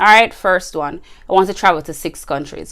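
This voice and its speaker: Using an ordinary speaking voice, a woman speaks at a moderate pace with lively intonation. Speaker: podcast host. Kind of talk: casual solo podcast advice.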